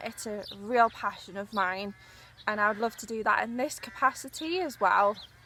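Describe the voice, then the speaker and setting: A woman with a Newcastle accent speaks at a moderate pace with ordinary pitch variation. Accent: Newcastle (Geordie). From northern England, Newcastle. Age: 20s. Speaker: journalist. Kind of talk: audition video monologue. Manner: hesitant, many fillers.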